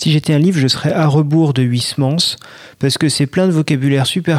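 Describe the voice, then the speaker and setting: Over a silent background on a very clean recording, a man with a plain, everyday voice speaks at a fairly quick pace with ordinary pitch variation. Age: 30s. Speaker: art director sharing reading habits in listener segment. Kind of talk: casual personal testimony.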